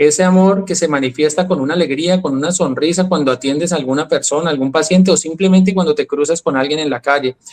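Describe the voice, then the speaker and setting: With a Colombian accent, a man speaks at a very fast pace with hardly any pauses. His pitch is fairly high and his intonation fairly even. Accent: Colombian, retained. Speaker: health and wellness speaker. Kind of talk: interview conversation.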